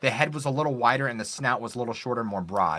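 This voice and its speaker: A man's very fast speech with lively intonation, a bright, sharp tone and vocal fry. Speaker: story narrator. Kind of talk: interview answer. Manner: well spoken.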